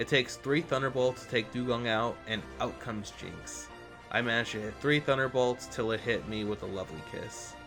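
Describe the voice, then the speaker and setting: Over music in the background, a man of medium pitch speaks at a fairly quick pace with lively intonation. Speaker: gaming video narrator. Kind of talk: game playthrough narration.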